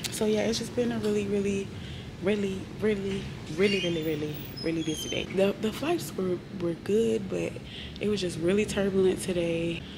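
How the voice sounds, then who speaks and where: A woman at medium pitch and moderate pace with lively intonation, audible room echo and noticeable background noise. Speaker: flight attendant vlogger. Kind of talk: casual vlog talk. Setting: crew room.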